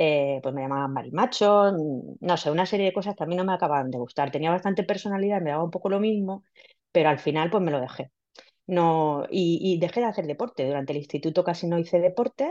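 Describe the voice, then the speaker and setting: Against a quiet background, a woman talks at a very fast pace. Her tone is dark and mellow, and her pitch is fairly low with ordinary variation. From Spain, Villena (Alicante). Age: 50s. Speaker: scientist and amateur runner. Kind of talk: casual interview. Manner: halting, many repetitions and fillers.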